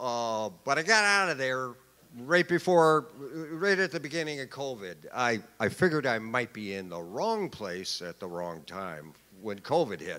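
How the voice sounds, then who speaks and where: A man at medium pitch with a bright, sharp tone, very wide pitch swings and big swings in loudness. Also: fairly slow pace. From Wisconsin. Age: 60s. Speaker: formerly homeless speaker. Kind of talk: personal testimony speech. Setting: stage with audience.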